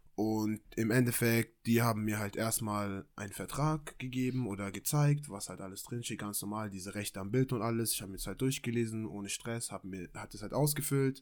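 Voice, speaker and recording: A man talks in an ordinary speaking voice at a medium pitch and moderate pace, with ordinary pitch variation, big swings in loudness and hardly any pauses, in a very clean recording with a silent background. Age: 20s. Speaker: amateur model and footballer. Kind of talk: casual chat.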